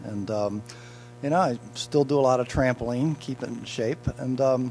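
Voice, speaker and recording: Music plays in the background as a man talks. He speaks at a moderate pace with ordinary pitch variation. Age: 60s. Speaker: motivational speaker and author. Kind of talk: interview. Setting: event blue carpet.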